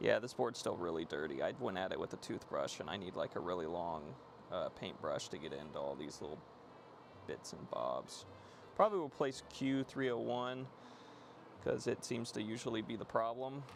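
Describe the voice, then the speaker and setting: Over music in the background, a man mumbles. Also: moderate pace. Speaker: electronics repair streamer. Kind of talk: live stream repair chat. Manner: mumbling.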